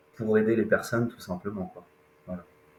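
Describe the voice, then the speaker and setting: A man's voice with fairly low pitch. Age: 30s. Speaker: independent loan insurance and wealth advisor. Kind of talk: podcast interview. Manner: hesitant, many fillers.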